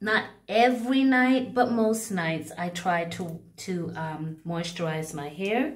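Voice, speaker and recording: Against a quiet background, a woman with a fairly low pitch talks at a very slow pace with lively intonation. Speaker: hair care vlogger. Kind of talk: casual vlog chat. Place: bathroom. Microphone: phone near.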